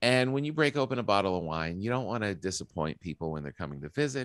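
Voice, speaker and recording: A man's pitch swings very widely. The sound is dry, with no echo. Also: quiet background. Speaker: podcast host. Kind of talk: podcast intro and ad read. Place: home room. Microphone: studio mic.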